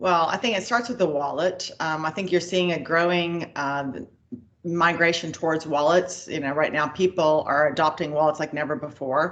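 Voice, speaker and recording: With an American accent, a woman with an unremarkable speaking voice talks at a fairly low pitch with ordinary pitch variation. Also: moderate pace. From United States. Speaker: payments executive. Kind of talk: interview.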